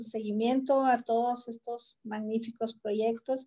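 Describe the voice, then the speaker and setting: Speaking very slowly, a woman uses a fairly high pitch and fairly even intonation. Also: quiet background. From Nogales, Sonora, Mexico; Sonora, Mexico. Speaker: cultural institute director. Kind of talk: closing remarks in online panel. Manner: halting, filler-heavy. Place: home room. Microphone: video call.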